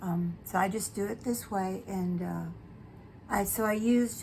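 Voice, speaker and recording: Somewhat breathy speech at a fairly slow pace with ordinary pitch variation. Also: woman. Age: 70s. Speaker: beauty vlogger. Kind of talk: casual chat. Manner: casual, hesitant with fillers.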